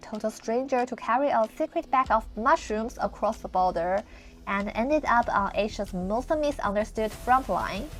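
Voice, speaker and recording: A woman with a mainland Chinese accent speaks at a fairly high pitch with ordinary pitch variation. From mainland China. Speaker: travel vlogger. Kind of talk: travel vlog narration.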